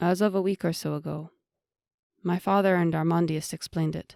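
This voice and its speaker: In a put-on character voice, the speaker sounds strained and soft-spoken, with a middle pitch and a fairly quick pace. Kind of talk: formal speech. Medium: read story. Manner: soft, restrained, even.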